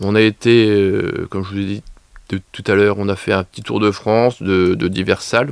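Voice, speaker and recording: In a normal speaking voice, a man with a fairly low pitch talks at a moderate pace with fairly even intonation, the sound dry and close with no echo. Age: 40s. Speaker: leisure business co-owner. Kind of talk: radio interview.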